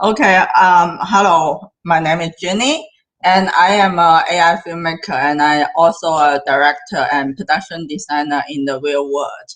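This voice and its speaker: A woman with a Cantonese accent talks at a moderate pace with hardly any pauses. Her pitch is fairly low, with ordinary variation. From southern China, near Hong Kong. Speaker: AI filmmaker and director. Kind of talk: interview. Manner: halting.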